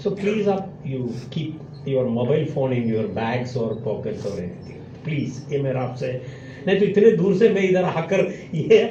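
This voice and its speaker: A man with a Malayali accent speaks with very wide pitch swings. Noticeable background noise and audible room echo are present. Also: fairly high pitch for a man, moderate pace. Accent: Malayali-accented Hindi. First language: Malayalam (speaking Hindi). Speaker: professor. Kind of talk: lecture. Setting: stage with student audience.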